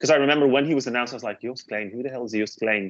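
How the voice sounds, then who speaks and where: With a Dutch accent, a man is talking. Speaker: music reviewer, podcast co-host. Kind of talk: casual chat. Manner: hesitant, many fillers.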